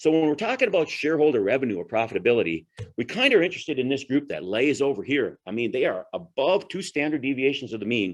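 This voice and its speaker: Over a quiet background, a man talks very fast with vocal fry, his fairly high pitch swinging very widely. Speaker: agronomy presenter; presenter. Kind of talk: presentation to growers. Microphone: webcam.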